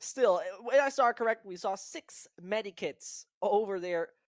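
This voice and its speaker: A woman with a German accent speaks with lively intonation in a very clean, dry, close recording with no echo and a silent background. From Germany. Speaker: esports caster. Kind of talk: live commentary.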